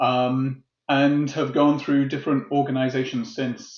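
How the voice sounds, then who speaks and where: In a British accent, a man speaks at medium pitch and a moderate pace. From UK. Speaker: tech executive. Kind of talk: interview. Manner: hesitant, many fillers.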